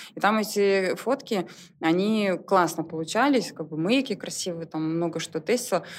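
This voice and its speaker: A woman talks at a moderate pace in a medium pitch with ordinary pitch variation. It is a plain, everyday voice. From Belarus, Soligorsk. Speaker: clothing brand founder. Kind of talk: casual interview chat.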